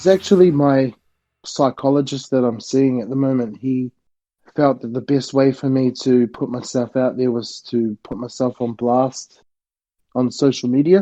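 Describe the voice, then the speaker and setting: The voice has an Australian accent and a dark, mellow tone. Its intonation stays fairly even. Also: man, medium pitch for a man, moderate pace. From Australia, Gold Coast. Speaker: podcast guest on weight loss. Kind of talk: podcast interview.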